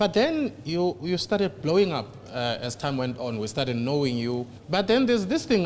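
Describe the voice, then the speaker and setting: A man's pitch swings very widely as he talks over noticeable background noise. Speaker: financial education interviewer. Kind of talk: interview.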